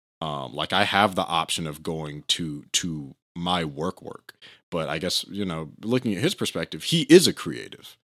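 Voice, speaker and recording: Vocal fry runs through speech with ordinary pitch variation. The sound is dry and close with no echo, on a very clean recording with a silent background. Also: man, very deep, low pitch for a man, moderate pace. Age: 20s. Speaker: solo podcast host. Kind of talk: casual solo commentary. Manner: halting, many fillers.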